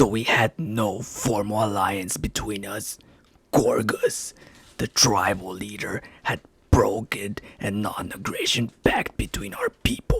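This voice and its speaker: A man puts on a character voice that is raspy and fairly low in pitch. He talks at a fairly slow pace. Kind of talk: reading of an ancient text passage. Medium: read story.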